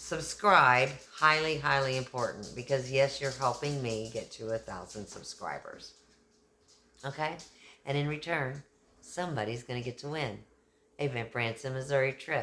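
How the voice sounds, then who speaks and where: A woman with a Texan accent speaks in an animated tone at a very deep, low pitch, with ordinary pitch variation and long, frequent pauses. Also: moderate pace. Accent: Texan, y'all. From Texas. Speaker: YouTuber, kindness channel host. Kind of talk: casual vlog talk.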